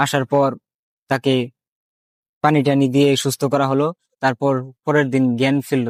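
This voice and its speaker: With a fairly high pitch, a man speaks in a monotone, flat way. The sound is dry and close, with no echo. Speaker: listener narrating a family ghost experience about his father. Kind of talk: casual ghost story telling.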